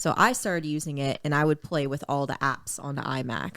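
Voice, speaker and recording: With a Maritime Canadian accent, a woman speaks at a very deep, low pitch with ordinary pitch variation. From Nova Scotia, Canada (Dartmouth). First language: French. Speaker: singer-songwriter and rapper. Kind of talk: casual podcast interview.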